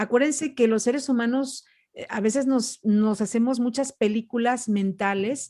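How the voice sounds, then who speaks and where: This woman has an unremarkable speaking voice with lively intonation. She talks at a moderate pace. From Mexico, Jalisco (Ciudad Guzmán). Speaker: public speaking coach. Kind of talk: podcast interview.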